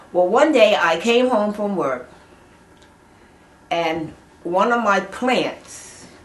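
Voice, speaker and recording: Lively intonation carries through noticeable background noise. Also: woman. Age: 80s+. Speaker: mother of eleven children. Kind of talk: oral history interview answer.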